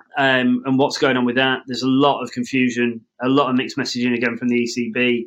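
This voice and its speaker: This man talks at a very fast pace with an English accent. His intonation is monotone and flat at a medium pitch. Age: 30s. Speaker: podcast host. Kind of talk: casual chat.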